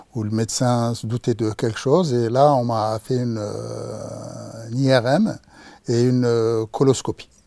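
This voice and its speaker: A man talks at a fairly slow pace and a medium pitch, with a dark, mellow tone and fairly even intonation. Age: 60s. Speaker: cancer patient. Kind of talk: testimony. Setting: studio. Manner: halting, many hesitations.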